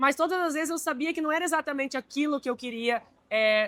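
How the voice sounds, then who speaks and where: High-pitched for a woman, her voice has a bright, sharp tone and ordinary pitch variation at a fairly quick pace. The sound is dry and close, with no echo. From Brazil. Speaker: marine industry executive. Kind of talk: interview. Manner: hesitant, with fillers.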